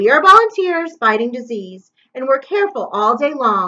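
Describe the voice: Someone reads a text plainly aloud. Behind it, things are quiet.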